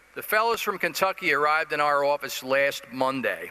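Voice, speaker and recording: A man with an American accent talks at a moderate pace with lively intonation. Noticeable background noise runs underneath. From New Jersey, Jersey City. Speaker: business executive. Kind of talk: conference presentation.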